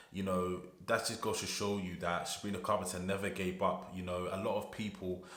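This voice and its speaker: In a British accent, a man with a very deep, low pitch talks at a fairly quick pace in a monotone, flat intonation, with audible room echo. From UK. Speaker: music reaction youtuber. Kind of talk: casual reaction video.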